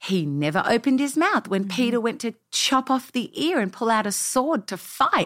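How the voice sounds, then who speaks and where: The voice, in an Australian accent, makes very wide pitch swings. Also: woman, fairly high pitch for a woman, moderate pace. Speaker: pastor. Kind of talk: interview.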